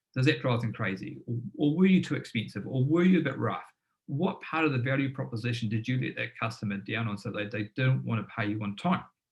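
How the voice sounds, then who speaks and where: Talking at a very fast pace, a man holds a medium pitch with lively intonation. Vocal fry runs through his voice. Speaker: business founder and former tradesman giving a webinar. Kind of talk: webinar presentation. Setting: live online webinar. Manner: animated.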